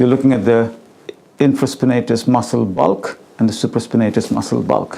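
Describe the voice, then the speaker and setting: A man's voice sits at a medium pitch. Noticeable background noise runs behind it. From India. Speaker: doctor. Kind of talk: medical teaching demonstration.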